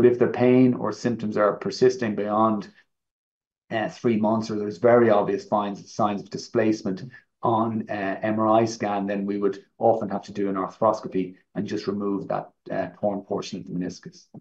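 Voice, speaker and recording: Against a quiet background, a man with a fairly low pitch speaks at a moderate pace, keeping his intonation fairly even despite big swings in loudness. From Ireland. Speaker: orthopaedic knee surgeon, professor; professor. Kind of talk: medical presentation. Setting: online live event. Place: home room. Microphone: webcam.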